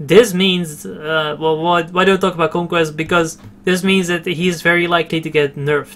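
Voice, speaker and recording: A man's high-pitched voice with a non-native accent, at a moderate pace. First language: not English. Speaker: gaming video creator. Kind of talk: game tutorial commentary. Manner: halting, many fillers and repeats.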